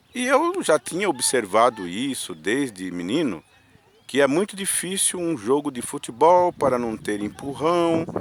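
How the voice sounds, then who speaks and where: Over noticeable background noise, a man with a fairly high pitch makes very wide pitch swings. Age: 60s. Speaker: vlogger sharing opinions. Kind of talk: personal monologue vlog. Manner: halting, with filler words.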